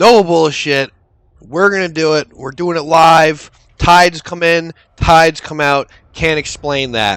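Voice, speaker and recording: In an unremarkable speaking voice, a man talks at a fairly slow pace with fairly high pitch and ordinary pitch variation. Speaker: gaming YouTuber. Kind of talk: casual gameplay commentary.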